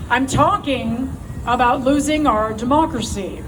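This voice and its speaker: Loud speech with an American accent at a very slow pace, plus audible room echo and noticeable background noise. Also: woman. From United States. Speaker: political activist. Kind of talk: rally speech. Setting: outdoor stage with crowd. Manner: impassioned.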